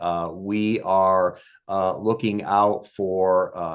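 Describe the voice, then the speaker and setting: A man against a quiet background. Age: 60s. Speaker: local party official. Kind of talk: podcast interview. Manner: halting, many filler words.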